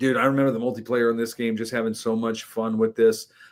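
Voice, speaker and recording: A man with an unremarkable speaking voice at medium pitch, fairly even intonation, on a very clean recording with a silent background. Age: 30s. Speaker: podcast guest. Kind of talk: casual chat.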